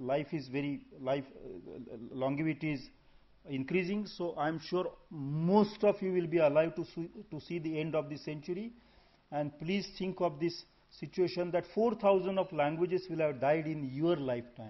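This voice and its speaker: With an Indian accent, a man talks at a moderate pace, his fairly high pitch showing ordinary variation. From India (Maharashtra/Gujarat). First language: Marathi and Gujarati. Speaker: conference speaker, language scholar. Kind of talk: conference talk. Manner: halting, with self-corrections.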